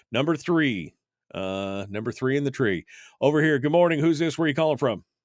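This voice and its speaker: A man with a normal speaking voice talks at a fairly quick pace and a fairly high pitch. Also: lively intonation, very clean recording, silent background. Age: 50s. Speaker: radio talk show host. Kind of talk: talk radio, reading listener chat. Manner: casual, conversational with fillers.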